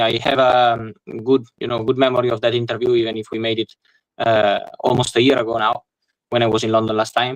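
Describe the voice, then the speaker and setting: Speaking at a very fast pace in an Italian accent, a man holds a medium pitch with monotone, flat intonation. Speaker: football journalist. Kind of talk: interview. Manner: halting. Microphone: poor microphone.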